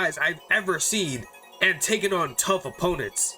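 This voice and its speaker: Music plays behind a man using a raised, projected voice at a high pitch. He keeps a moderate pace with lively intonation. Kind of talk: gameplay commentary narration.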